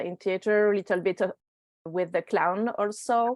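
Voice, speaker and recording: Here a woman talks at a fairly slow pace and medium pitch, in a French accent. The sound is dry and close, with no echo. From France. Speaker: laughter yoga leader. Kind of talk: casual interview chat. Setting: video call. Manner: energetic.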